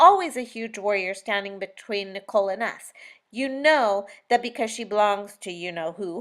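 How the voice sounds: Pitch shifts in an ordinary way across a natural reading voice.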